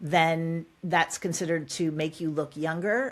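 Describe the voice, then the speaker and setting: A woman talks at a fairly slow pace with a fairly low pitch. She has a normal speaking voice. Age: 60s. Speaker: author and executive coach. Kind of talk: podcast interview.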